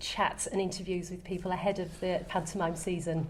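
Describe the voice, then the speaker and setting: This woman has a medium pitch and a somewhat breathy voice. She speaks at a fairly quick pace with fairly even intonation. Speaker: local radio presenter interviewing. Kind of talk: radio interview questions.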